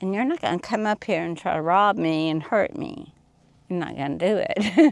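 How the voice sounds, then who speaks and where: This woman talks at a moderate pace in a Southern US accent, her intonation lively. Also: medium pitch for a woman. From US South. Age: 60s. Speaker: off-grid desert resident. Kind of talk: interview. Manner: animated.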